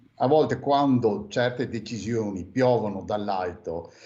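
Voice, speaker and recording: Here a man speaks at a medium pitch with ordinary pitch variation. Audible room echo is present. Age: 60s. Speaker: former mayor. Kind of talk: radio interview. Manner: hesitant, many fillers.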